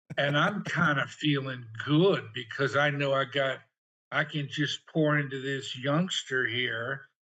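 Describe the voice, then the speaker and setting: A man talks in an unremarkable speaking voice at a fairly high pitch. His pace is fairly slow and his intonation fairly even. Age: 60s. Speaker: podcast guest. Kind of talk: casual chat.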